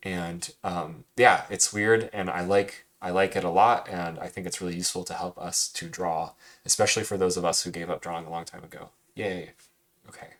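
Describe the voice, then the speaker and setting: Soft-spoken, a man talks at a fairly quick pace in a very deep, low pitch with fairly even intonation but big swings in loudness. The recording is very clean, with a silent background. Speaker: cartooning teacher. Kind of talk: recorded lesson recap. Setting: screen recording with webcam.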